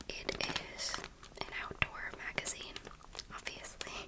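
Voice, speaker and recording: A woman is whispering. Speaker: ASMR creator. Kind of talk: ASMR trigger video. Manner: whispered. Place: home room. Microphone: studio mic.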